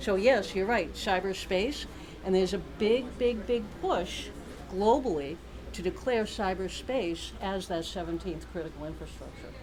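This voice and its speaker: A woman with an American accent at a moderate pace, amid audible room echo and noticeable background noise. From Boston. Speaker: keynote speaker, cybersecurity academic. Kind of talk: conference keynote. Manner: animated.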